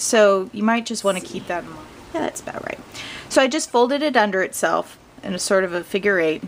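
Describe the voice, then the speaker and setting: There is noticeable background noise behind this speaker. She is a woman with a medium pitch and lively intonation. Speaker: crafting video host. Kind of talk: tutorial. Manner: casual, chatty with fillers.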